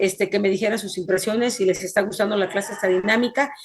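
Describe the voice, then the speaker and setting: A woman talks at a very fast pace. Her pitch is fairly high, with ordinary variation. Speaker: forensic computing instructor. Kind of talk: online class lecture. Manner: fast, hard to follow.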